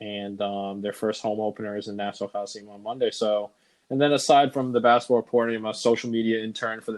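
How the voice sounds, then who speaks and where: This man has an American accent and a fairly low pitch. He talks at a very fast pace. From New Jersey, Bergen County. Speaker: podcast co-host, sports reporter. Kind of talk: casual chat. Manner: halting.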